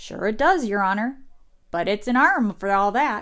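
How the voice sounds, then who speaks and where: A woman's put-on character voice at a fairly high pitch, with lively intonation and a moderate pace. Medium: read story. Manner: deferential, saying "your honor".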